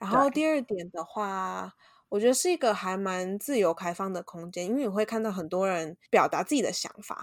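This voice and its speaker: A woman's normal speaking voice, medium in pitch, with lively intonation at a moderate pace. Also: very clean recording, silent background. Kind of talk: casual chat; scripted outro.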